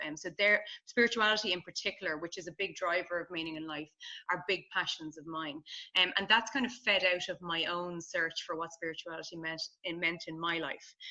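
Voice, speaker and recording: A woman with a slight Irish accent, fairly low in pitch with a bright, sharp tone, at a fairly quick pace, with fairly even intonation and big swings in loudness. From Ireland. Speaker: positive psychology researcher. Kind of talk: podcast interview conversation.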